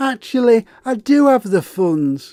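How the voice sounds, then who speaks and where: Using a put-on character voice, a man speaks at a fairly slow pace, his pitch extremely high for a man and swinging very widely. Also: dry, close sound with no echo. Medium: read story.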